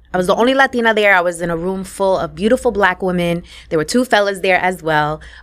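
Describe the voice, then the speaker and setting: Speaking with a New York accent, a woman moves at a very fast pace in a medium pitch with ordinary pitch variation. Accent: New York City. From New York, Puerto Rican family. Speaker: podcast host and business coach. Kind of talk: interview.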